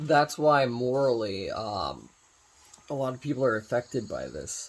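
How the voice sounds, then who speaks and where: At a fairly slow pace, a man of medium pitch speaks with ordinary pitch variation and big swings in loudness. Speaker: vlogger. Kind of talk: casual monologue.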